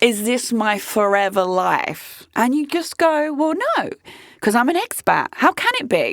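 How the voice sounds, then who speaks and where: A British-accented woman speaks very slowly at a high pitch, her voice swinging very widely up and down. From UK. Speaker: podcast host. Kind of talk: casual chat. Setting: studio.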